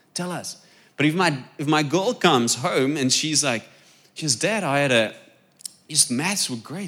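A man with a bright, sharp tone and fairly high pitch speaks fairly slowly with lively intonation, big swings in loudness and long, frequent pauses. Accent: South African. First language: Afrikaans. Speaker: preacher. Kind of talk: sermon. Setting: church.

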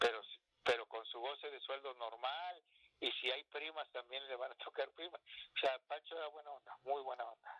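A man speaks at a moderate pace. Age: 50s. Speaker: retired footballer. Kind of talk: casual interview. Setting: phone call.

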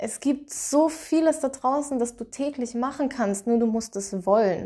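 A woman with a dark, mellow tone speaks at a moderate pace against a quiet background. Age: 20s. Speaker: podcast host and confidence coach. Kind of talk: solo motivational podcast monologue.

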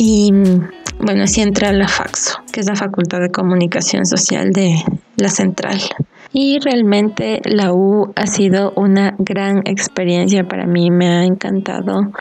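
A woman speaks fairly slowly at a medium pitch, her loudness very even. Noticeable background noise runs behind her. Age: 20s. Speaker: podcast host. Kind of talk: casual chat. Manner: animated.

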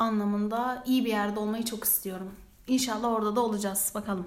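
Moderate pace and fairly even intonation, with audible room echo. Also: woman. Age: 20s. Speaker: student podcast co-host. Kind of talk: casual chat.

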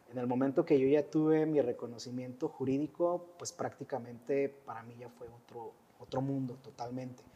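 A man with an unremarkable speaking voice talks at a moderate pace and medium pitch, with fairly even intonation. He barely pauses, and his loudness moves in big swings. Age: 40s. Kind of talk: testimony.

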